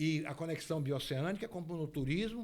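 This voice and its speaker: The man's voice is high-pitched, with ordinary pitch variation, and he talks at a moderate pace. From Bahia, Brazil (Ilhéus region). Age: 60s. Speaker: guest speaking on regional infrastructure. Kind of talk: talk-show interview. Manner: animated.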